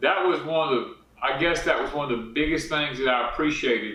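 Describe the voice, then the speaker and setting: A moderate pace and ordinary pitch variation with a Southern US accent, over noticeable background noise. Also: man. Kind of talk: casual talk to camera.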